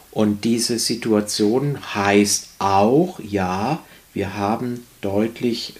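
A man is speaking here. His pitch sits fairly low. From Baden, near Bruchsal (southwest Germany). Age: 60s. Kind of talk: interview. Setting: studio.

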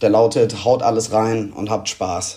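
This man's voice is somewhat breathy, with a dark, mellow tone and a monotone, flat intonation. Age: 20s. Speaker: amateur footballer, marketing manager. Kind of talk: voice message.

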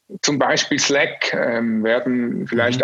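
This man has an unremarkable speaking voice at a medium pitch, with ordinary pitch variation. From Switzerland. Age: 40s. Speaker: agency owner. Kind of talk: interview. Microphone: poor sound quality.

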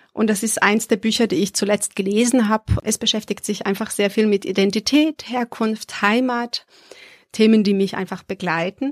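A woman's fairly high voice at a moderate pace, fairly even in intonation, in a dry, close sound with no echo. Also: very clean recording, silent background. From Serbia. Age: 30s. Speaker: adult education worker. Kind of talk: interview. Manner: hesitant with fillers.

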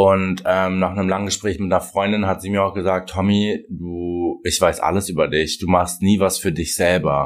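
A man with a very deep, low pitch speaks at a moderate pace in a monotone, flat intonation. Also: hardly any pauses. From Germany, Russian-German family. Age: 20s. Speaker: hair colorist and influencer. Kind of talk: interview, casual chat.

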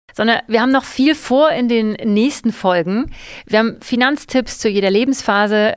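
With a plain, everyday voice, a woman speaks at a moderate pace and fairly high pitch, with ordinary pitch variation and very even loudness. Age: 40s. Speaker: podcast host. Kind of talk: casual chat.

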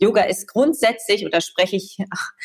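At a fairly slow pace, a woman speaks in a medium pitch with ordinary pitch variation and an unremarkable speaking voice. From East Frisia, northern Germany. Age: 30s. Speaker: TV presenter, journalist and coach. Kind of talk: casual chat.

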